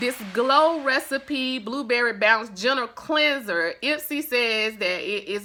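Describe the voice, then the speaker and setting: With a Southern US accent, this woman has a fairly high pitch, a bright, sharp tone and lively intonation. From US South. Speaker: beauty vlogger. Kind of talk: product review. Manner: chatty.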